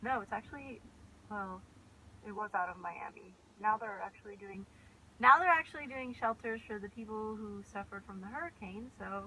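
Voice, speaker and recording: With an American accent, a woman speaks at a moderate pace in a fairly high voice, her pitch varying in an ordinary way while her loudness swings widely against noticeable background noise. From California, US (Sacramento). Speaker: vlogger. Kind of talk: casual chat.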